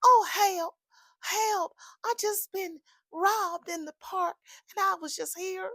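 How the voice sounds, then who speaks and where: In a put-on character voice with a Southern accent, a female-sounding speaker whines at an extremely high pitch, moving at a fairly slow pace with long, frequent pauses. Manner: tired, whiny, distressed.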